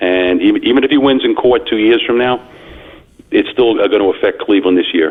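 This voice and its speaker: With a Long Island accent, a man talks at a fairly quick pace and very even loudness over noticeable background noise. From Long Island, New York. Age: 60s. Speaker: caller. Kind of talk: sports talk call-in. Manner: halting, many fillers.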